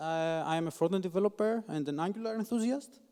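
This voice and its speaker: Speaking at a fairly quick pace, a man with a non-native accent uses a high pitch and ordinary pitch variation. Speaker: software developer, conference speaker. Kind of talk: conference talk. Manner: halting.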